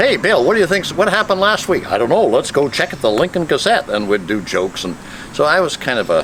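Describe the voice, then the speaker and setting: A man's pitch swings very widely over noticeable background noise. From Maine, US (Portland). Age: 70s. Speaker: retired politician. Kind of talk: reminiscing interview.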